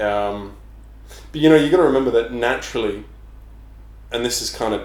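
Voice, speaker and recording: A man talks with an English accent. Audible room echo surrounds his voice. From England. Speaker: personal trainer. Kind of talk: casual chat.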